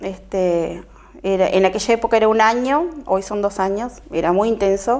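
This woman talks at a moderate pace. Her pitch doesn't rise or fall much, staying fairly even. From Uruguay, Artigas; Uruguay. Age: 50s. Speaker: local political candidate and shop owner; candidate. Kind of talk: TV interview. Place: studio.

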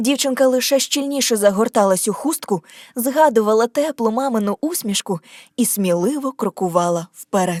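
Lively intonation and a moderate pace in an ordinary speaking voice. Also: woman, fairly high pitch for a woman. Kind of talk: scripted audiobook narration of a fairy tale.

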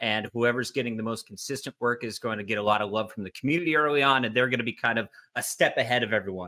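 A man rushes along at a very fast pace, his pitch varying in an ordinary way. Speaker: esports commentator. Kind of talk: casual panel discussion. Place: home room.

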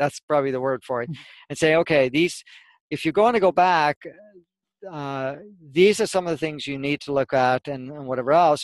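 A man at a moderate pace, with ordinary pitch variation, long, frequent pauses and a dry sound with no echo. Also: quiet background. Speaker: spiritual teacher. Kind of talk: interview answer. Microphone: headset.

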